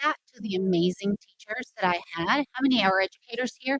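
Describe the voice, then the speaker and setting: A woman's voice at a moderate pace with ordinary pitch variation, dry and close with no echo. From Mexico, raised in Texas. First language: Spanish. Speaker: political candidate, teacher. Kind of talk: campaign speech. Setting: rally with live audience.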